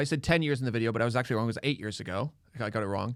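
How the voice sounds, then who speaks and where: The recording is very clean, with a silent background. A man with a Canadian accent speaks at a medium pitch with ordinary pitch variation. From Canada (Ontario). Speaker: comedian. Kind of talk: casual chat. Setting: studio. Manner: loud.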